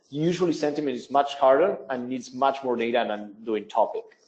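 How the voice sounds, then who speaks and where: A man speaks at a moderate pace with a non-native accent. His intonation is lively. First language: not English. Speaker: webinar presenter, business development. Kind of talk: software tutorial webinar. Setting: online webinar.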